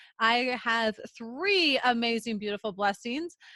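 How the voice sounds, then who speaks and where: Here a woman with a Minnesotan accent has a bright, sharp tone. The very clean recording has a silent background and a dry, close sound with no echo. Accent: Minnesota. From central Minnesota. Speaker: podcast co-host, entrepreneur. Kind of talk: casual interview chat.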